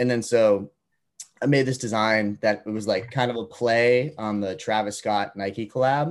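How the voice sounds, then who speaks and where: A man with an American accent and an unremarkable speaking voice, medium pitch, ordinary pitch variation and a fairly slow pace. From Massachusetts, near Boston. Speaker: college student and clothing startup founder. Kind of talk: casual interview.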